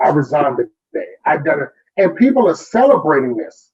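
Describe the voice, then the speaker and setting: Talking at a moderate pace, this man is heard with music in the background. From Texas, Corpus Christi. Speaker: educator. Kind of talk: interview. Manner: animated, preachy.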